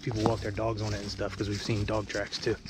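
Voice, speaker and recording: Over noticeable background noise, a man with fairly low pitch talks at a fairly quick pace in a dry sound with no echo. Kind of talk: casual vlog chat. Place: forest. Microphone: phone near.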